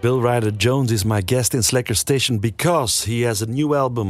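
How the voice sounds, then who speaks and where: A man speaks with a Dutch accent at a medium pitch. The recording is very clean with a silent background. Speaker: radio host. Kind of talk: casual chat. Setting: studio. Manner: halting.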